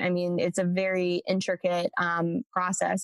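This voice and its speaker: Speaking with an American accent at a medium pitch, a woman is heard in a dry, close sound with no echo. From Central Coast, California. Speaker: startup founder and CEO. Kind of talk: interview.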